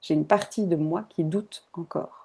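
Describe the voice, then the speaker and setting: With a dark, mellow tone, a woman speaks at a fairly low pitch and a fairly slow pace. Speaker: holistic coach. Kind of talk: online masterclass.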